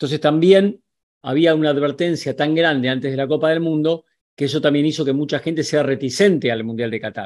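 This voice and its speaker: Against a quiet background, a man with a fairly high voice talks at a fairly quick pace with ordinary pitch variation. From Argentina. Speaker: sports journalist. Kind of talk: video commentary to camera; commentary. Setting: on location in Qatar. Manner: animated.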